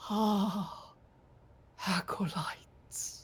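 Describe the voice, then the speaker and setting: This is a put-on character voice. It sounds female and sits at a medium pitch. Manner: eerie, menacing.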